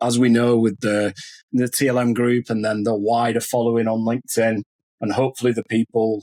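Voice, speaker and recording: A man with a Lancashire accent talks at a fairly quick pace and medium pitch. The sound is dry and close, with no echo. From northern England, Lancashire. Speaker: podcast host. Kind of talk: podcast interview.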